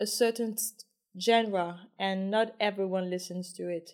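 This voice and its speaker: The woman has a plain, everyday voice, pitched in the medium range with fairly even intonation. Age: 30s. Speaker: podcast host. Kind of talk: casual interview chat; scripted intro.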